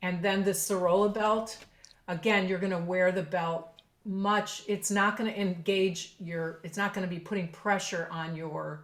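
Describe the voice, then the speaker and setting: Noticeable background noise sits behind a woman speaking at a fairly slow pace. Her medium-pitched voice is monotone and flat. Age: 60s. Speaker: professional clarinetist. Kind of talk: podcast interview.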